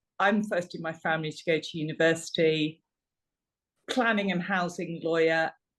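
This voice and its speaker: In a London accent, a woman with a fairly low pitch speaks with ordinary pitch variation. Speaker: parliamentary candidate. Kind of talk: election hustings speech. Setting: online meeting. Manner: hesitant with many fillers.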